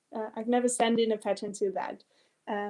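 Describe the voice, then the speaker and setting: A woman with a non-native accent speaks at a fairly high pitch in a dark, mellow tone. The background is quiet. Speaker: quilting teacher and pattern designer. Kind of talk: live Q&A. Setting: home studio, livestream. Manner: halting, many fillers.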